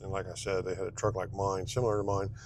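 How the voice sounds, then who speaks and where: A man talks quietly at a fairly low pitch. He has a Southern US accent. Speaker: dumpster rental business owner. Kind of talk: casual vlog while driving. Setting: in a truck. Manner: soft-spoken; hesitant, many fillers. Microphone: wearing a new clip mic.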